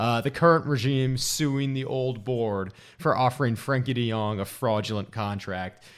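In a very clean recording with a silent background, a man with an ordinary speaking voice talks at a moderate pace, his medium pitch showing ordinary variation. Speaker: podcast co-host. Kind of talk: comedic sports banter, mock-announcer intro.

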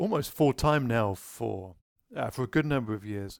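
A man with a British accent, medium pitch and very wide pitch swings at a fairly slow pace, the sound dry and close with no echo. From Britain. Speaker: podcast host. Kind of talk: casual interview.

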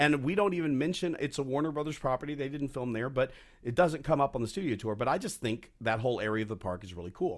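A man speaks with lively intonation and an ordinary speaking voice. The recording is very clean, with a silent background. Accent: American. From Texas. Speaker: tour guide and voiceover actor. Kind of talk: casual interview chat.

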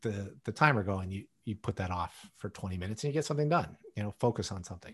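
Against a quiet background, a man talks at a very fast pace with lively intonation and a somewhat breathy sound. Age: 50s. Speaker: podcast co-host. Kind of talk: casual chat.

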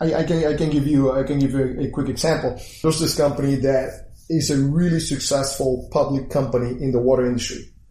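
Somewhat breathy, the voice has a dark, mellow tone, moderate pace and fairly even intonation, with audible room echo. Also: man. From Puerto Rico. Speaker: engineer turned crypto entrepreneur. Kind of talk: interview.

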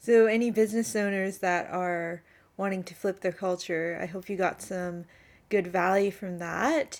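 A woman with a Canadian accent has a plain, everyday voice at a medium pitch, speaking at a moderate pace with fairly even intonation. The recording is very clean, with a silent background. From Canada. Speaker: podcast host. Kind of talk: casual interview chat.

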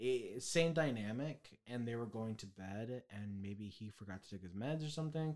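This is an ordinary speaking voice at a moderate pace with hardly any pauses. The pitch varies in an ordinary way while the loudness swings widely. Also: man, medium pitch for a man. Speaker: podcast co-host. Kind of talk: casual chat.

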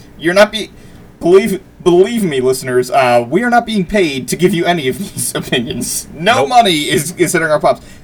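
With an American accent, a man talks at a fairly quick pace and a high pitch. There is noticeable background noise. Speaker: video game podcast co-host. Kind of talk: casual chat. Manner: halting, many fillers and restarts.

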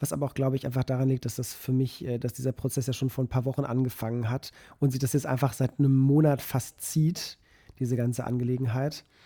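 A man's very fast, somewhat breathy delivery at a medium pitch, dark and mellow in tone, with monotone, flat intonation. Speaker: podcast co-host, photographer. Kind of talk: casual chat.

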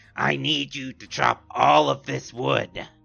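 A man talks fairly slowly. He is using a put-on character voice. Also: very deep, low pitch for a man, ordinary pitch variation.

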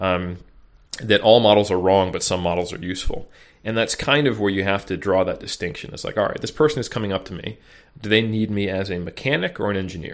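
A man talks at a very fast pace, his fairly low voice moving with ordinary pitch variation. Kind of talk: casual interview chat. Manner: casual, joking.

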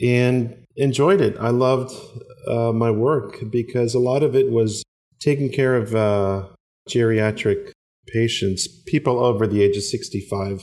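In a plain, everyday voice, a man talks at a fairly slow pace with medium pitch, ordinary pitch variation and very even loudness. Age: 40s. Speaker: former podiatrist turned coffee and cigar entrepreneur. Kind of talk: interview.

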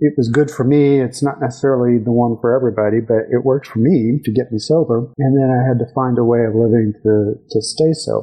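Speaking with a Texan accent, a man with a medium-pitched voice talks at a fairly quick pace, his intonation fairly even, his loudness very even and hardly any pauses breaking it up. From West Texas. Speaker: judge and political candidate. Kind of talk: interview. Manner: frequent hesitations (uh).

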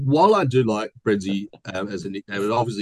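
With an Australian accent, a man speaks fairly quickly at a fairly low pitch. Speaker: podcast host. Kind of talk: casual chat. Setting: video call. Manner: joking, animated.

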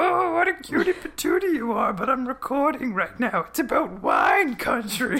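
Someone uses a put-on character voice pitched high. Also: moderate pace. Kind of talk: cutesy, sugary. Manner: playful, teasing.

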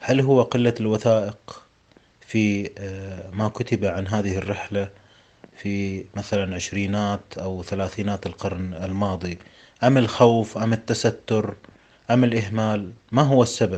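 The man has an unremarkable speaking voice, pitched fairly low. He keeps a fairly slow pace and fairly even intonation. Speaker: podcast host. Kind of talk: interview. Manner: formal.

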